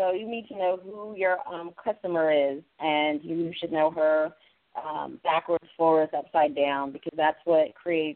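A woman with an American accent, an ordinary speaking voice, fairly low pitch and a moderate pace. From US West Coast, San Francisco Bay Area. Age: 30s. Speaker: fashion designer. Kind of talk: interview.

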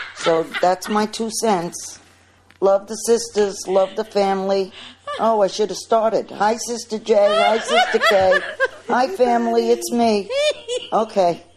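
Noticeable background noise sits under speech that moves at a fairly slow pace. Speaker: listener sending feedback. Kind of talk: recorded voice message.

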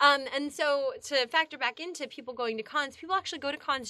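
A woman's raised, projected voice, high in pitch and bright, sharp in tone, with an American accent, ordinary pitch variation and a fairly quick pace. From Pennsylvania, US. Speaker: actress and cosplayer. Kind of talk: casual interview chat.

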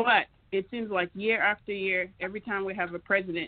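This woman has an unremarkable speaking voice at medium pitch with an American accent. She talks at a moderate pace with fairly even intonation. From United States. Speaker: community association president. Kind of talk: call-in radio panel discussion.

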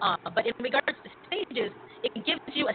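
Noticeable noise behind a woman speaking in a high pitch. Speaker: radio host. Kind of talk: casual chat. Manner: animated.

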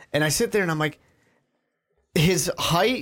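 With lively intonation at a moderate pace, a man speaks in a plain, everyday voice on a very clean recording with a silent background. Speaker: podcast host. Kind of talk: casual chat.

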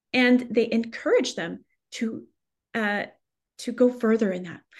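A woman with a high pitch. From France, Paris. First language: French. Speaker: research scientist and lecturer. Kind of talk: interview. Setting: pre-recorded radio show.

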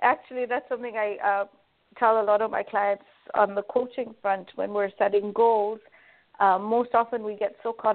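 A woman's medium-pitched voice, monotone and flat, at a moderate pace. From Kenya. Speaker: life coach and magazine editor. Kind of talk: interview.

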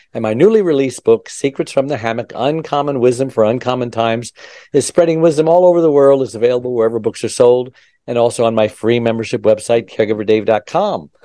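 A man's dark, mellow voice at a medium pitch, with ordinary pitch variation, a very fast pace, and a quiet background. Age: 60s. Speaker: podcast host. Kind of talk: casual interview.

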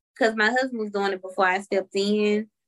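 A woman with a Southern US accent speaks at a fairly high pitch in a bright, sharp tone, the sound dry and close with no echo. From Memphis, Tennessee. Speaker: stay-at-home mother and family caregiver. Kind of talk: interview. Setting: at home with her mother-in-law.

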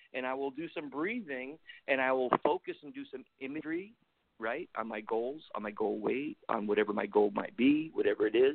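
Speaking at a moderate pace with ordinary pitch variation, a man has an ordinary speaking voice. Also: medium pitch for a man. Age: 50s. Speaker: army veteran. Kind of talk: casual interview chat.

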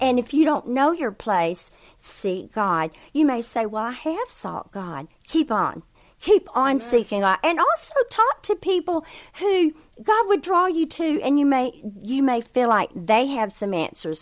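A high-pitched woman speaks at a fairly slow pace with very wide pitch swings. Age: 60s. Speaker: ministry leader. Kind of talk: interview.

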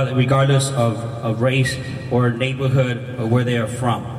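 A man's monotone, flat intonation against noticeable background noise. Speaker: city council member. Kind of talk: speech at a rally. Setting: outdoors at a rally.

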